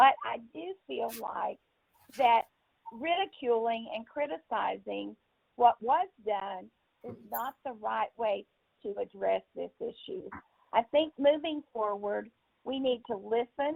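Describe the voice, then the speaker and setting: Very slowly, a woman speaks with big swings in loudness and long, frequent pauses. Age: 70s. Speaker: city council member. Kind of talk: council meeting remarks. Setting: video and teleconference meeting.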